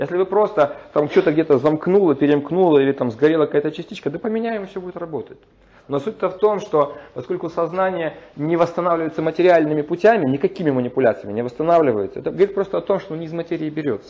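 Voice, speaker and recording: A man talks at a very fast pace. His high voice shows ordinary pitch variation. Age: 40s. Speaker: lecturer on Vedic philosophy. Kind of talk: lecture. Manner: halting, frequent filler sounds.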